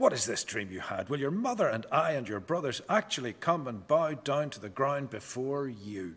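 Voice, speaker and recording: A man is talking. His pace is moderate. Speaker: preacher or scripture reader. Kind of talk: scripture reading. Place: church.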